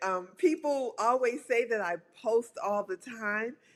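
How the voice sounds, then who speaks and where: A woman with a normal speaking voice talks at a fairly slow pace with lively intonation. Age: 60s. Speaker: publicist and pole dancer. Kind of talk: casual chat. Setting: podcast interview.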